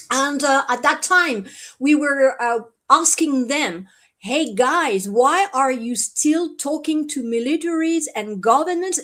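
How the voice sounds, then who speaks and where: The woman's voice is high in pitch with lively intonation. She speaks at a very slow pace. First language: French. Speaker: contactee, event organizer. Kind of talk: live stream interview. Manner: halting, many fillers.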